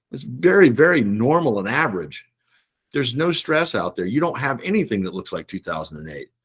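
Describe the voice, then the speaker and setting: With vocal fry, a man's voice moves through very wide pitch swings. The recording is very clean with a silent background. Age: 60s. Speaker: investment firm CEO. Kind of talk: casual chat. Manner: conversational, hesitant fillers.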